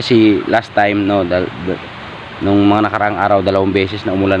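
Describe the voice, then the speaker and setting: A man talks with a very deep, low pitch over noticeable background noise. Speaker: fishing vlogger. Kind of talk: casual vlog narration. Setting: outdoors by a stream.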